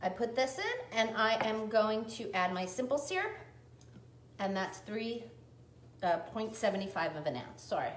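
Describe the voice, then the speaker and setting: Amid noticeable background noise and audible room echo, a woman with an American accent speaks at a fairly slow pace with long, frequent pauses and ordinary pitch variation. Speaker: cocktail and cooking video host. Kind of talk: live cooking tutorial. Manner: chatty, self-correcting.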